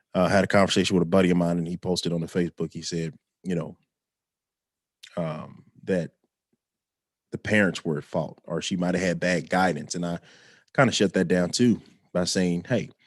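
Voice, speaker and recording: A man with an American accent speaks quietly in a very deep, low pitch with fairly even intonation. Long, frequent pauses break up his speech, and the sound is dry and close with no echo. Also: fairly quick pace. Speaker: vlogger. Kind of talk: casual livestream monologue. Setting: live stream at home. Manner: quiet, talking low.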